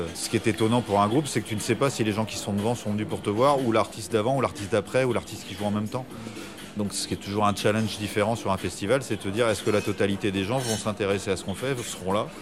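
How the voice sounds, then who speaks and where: Music plays in the background as a man talks at a very fast pace in a fairly low pitch with fairly even intonation. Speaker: rock band musician. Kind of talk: radio interview. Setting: café in Paris.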